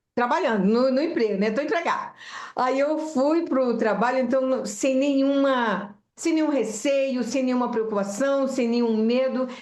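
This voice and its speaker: Speaking at a fairly slow pace, a woman uses a high voice with ordinary pitch variation. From Brazil, Pará (raised in Belém). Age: 70s. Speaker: flight attendant and aircraft structures technician. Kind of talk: interview. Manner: talkative.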